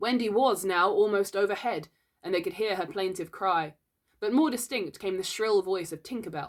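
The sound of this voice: Quiet background behind an unforced reading voice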